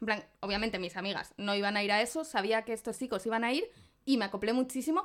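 A woman's fairly high voice at a very fast pace. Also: ordinary pitch variation. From Zamora, Spain. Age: 30s. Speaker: podcast co-host. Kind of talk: casual chat.

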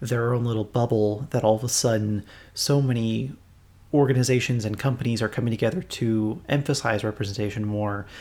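On a very clean recording with a silent background, a man with an American accent uses an unremarkable speaking voice at a medium pitch and moderate pace, with fairly even intonation. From United States. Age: 20s. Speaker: podcast host. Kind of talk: casual chat.

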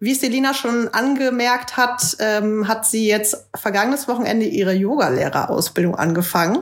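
Using an ordinary speaking voice, a woman with a fairly high pitch talks at a fairly slow pace with lively intonation. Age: 20s. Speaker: podcast co-host, yoga teacher. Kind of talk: casual chat.

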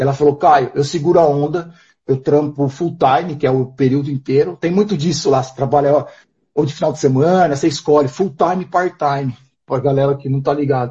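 Speaking at a fairly quick pace, a man with a fairly high pitch has a somewhat breathy voice and fairly even intonation. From interior of São Paulo state, Brazil. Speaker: nomadic entrepreneur, street seller. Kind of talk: casual chat. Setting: live stream video call.

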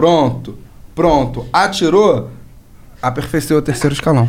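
With a Rio de Janeiro accent, a man speaks at a fairly slow pace with ordinary pitch variation and long, frequent pauses. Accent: Carioca Brazilian Portuguese. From Rio de Janeiro, Brazil. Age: 20s. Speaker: city councilman and police officer. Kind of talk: casual interview chat. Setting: studio.

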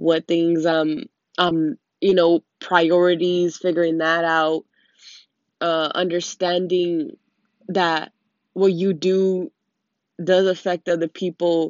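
At a very slow pace with long, frequent pauses, a woman speaks in a monotone, flat manner at a fairly low pitch. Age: 20s. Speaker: vlogger. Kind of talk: personal monologue vlog. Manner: halting, many fillers.

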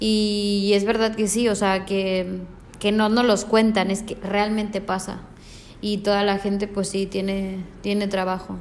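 In a room with audible echo, a woman speaks at a fairly slow pace in a medium pitch with monotone, flat intonation. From Mexico. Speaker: hospitality management student. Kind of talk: interview.

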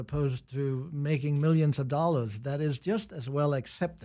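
A man with a Danish accent speaks at a moderate pace. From Denmark. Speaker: business consultant and professor. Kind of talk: casual interview chat.

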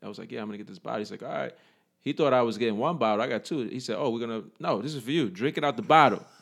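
Speaking at a very fast pace, a man with a New York accent uses a medium pitch and ordinary pitch variation. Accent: New York City. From New York City, the Bronx. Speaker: army veteran and fitness trainer. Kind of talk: casual interview.

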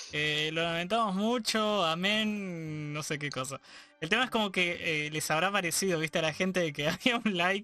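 A man's high, bright, sharp voice in a Rioplatense accent, at a moderate pace with ordinary pitch variation over a quiet background. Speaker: podcast host. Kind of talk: casual chat.

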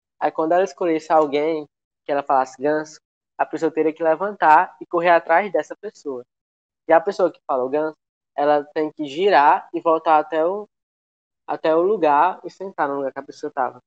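An unremarkable speaking voice from a man, fairly high-pitched, at a moderate pace with fairly even intonation, big swings in loudness, and a dry, close sound with no echo. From Pernambuco, Brazil. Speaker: podcast guest. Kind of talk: casual chat.

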